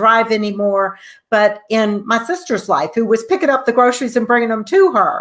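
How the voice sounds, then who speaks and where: A woman with a fairly high pitch speaks at a moderate pace with lively intonation, in a normal speaking voice. The recording is very clean, with a silent background. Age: 60s. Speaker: talk show host. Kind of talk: interview.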